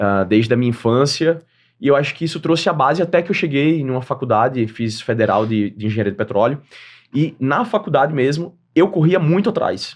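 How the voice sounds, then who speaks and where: A fairly high-pitched man with a northeastern Brazilian accent, fairly quick pace, and very wide pitch swings against a quiet background. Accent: northeastern Brazilian, kept. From Northeast Brazil, Aracaju, Sergipe. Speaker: entrepreneur and creator economy expert. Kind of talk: podcast interview.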